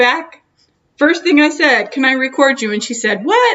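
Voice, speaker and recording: A loud woman at a moderate pace, her pitch swinging very widely. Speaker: video blogger. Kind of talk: casual interview.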